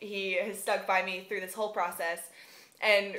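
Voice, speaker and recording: With an American accent, a woman speaks at a medium pitch and a moderate pace in a monotone, flat intonation, with audible room echo around her. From US South. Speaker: vlogger, university student. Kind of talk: casual vlog monologue. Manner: unscripted, frequent um fillers.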